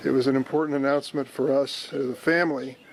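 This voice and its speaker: A man's medium-pitched, flat, monotone voice with a Midwestern American accent. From East St. Louis, Illinois. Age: 80s+. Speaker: US senator. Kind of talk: prepared political announcement.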